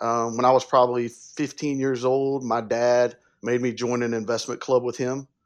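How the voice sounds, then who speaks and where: Against a quiet background, a man in a Southern US accent speaks at a moderate pace in a medium pitch with monotone, flat intonation. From upstate South Carolina. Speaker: wealth advisor. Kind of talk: interview.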